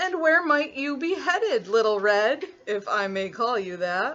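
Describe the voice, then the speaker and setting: A put-on character voice that sounds female, high-pitched for a woman, moves at a moderate pace. Its pitch swings very widely. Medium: read story. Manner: silky, overly polite.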